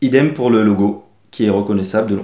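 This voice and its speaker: A dark, mellow tone with ordinary pitch variation. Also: man. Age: 30s. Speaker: fashion designer. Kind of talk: crowdfunding pitch interview. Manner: hesitant, frequent fillers.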